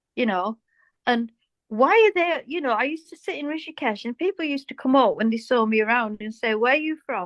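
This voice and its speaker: A woman with a British accent, high-pitched and lively at a fairly quick pace, in a dry, close sound with no echo and a quiet background. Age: 60s. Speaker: cosmetic surgery patient. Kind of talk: casual interview chat.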